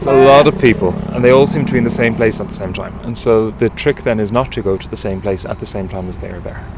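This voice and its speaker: A man with an Irish accent at a very fast pace and medium pitch, lively in intonation, with big swings in loudness, hardly any pauses and noticeable background noise. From Ireland. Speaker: tour guide. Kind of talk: guided tour talk.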